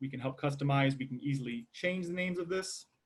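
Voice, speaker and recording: On a very clean recording with a silent background, a man speaks in a fairly high, somewhat breathy voice. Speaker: software product presenter. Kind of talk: product demo. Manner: fast.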